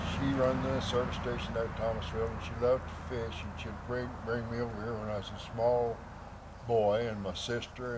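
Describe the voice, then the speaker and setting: A medium-pitched male voice with an Ozarks accent, a moderate pace, and audible room echo. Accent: rural Ozarks Southern US. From Missouri Ozarks. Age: 80s+. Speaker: local elder interviewee. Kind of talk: interview storytelling.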